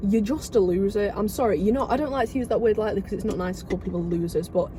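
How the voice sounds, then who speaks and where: Over noticeable background noise, a woman with an English accent talks at a very fast pace at a medium pitch. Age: 20s. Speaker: podcast co-host. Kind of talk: casual chat. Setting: in a car.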